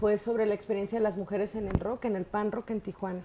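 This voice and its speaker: A woman with a slight northern Mexican accent speaks at a medium pitch in a monotone, flat intonation. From northern Mexico, Baja California. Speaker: professor. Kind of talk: interview.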